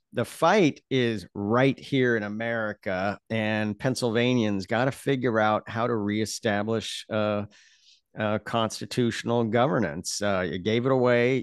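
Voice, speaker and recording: At a fairly slow pace and with fairly even intonation, a man speaks over a quiet background in a dry sound with no echo. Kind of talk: interview answer. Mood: earnest political analysis. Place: home room. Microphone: studio mic.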